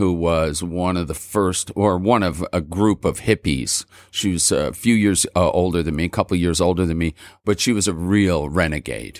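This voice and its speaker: A man with a Montreal accent and a very deep, low pitch, ordinary pitch variation at a moderate pace, on a very clean recording with a silent background and a dry, close sound with no echo. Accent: Montreal English (Canadian). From Montreal, Quebec. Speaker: rock singer. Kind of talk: casual chat. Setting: studio.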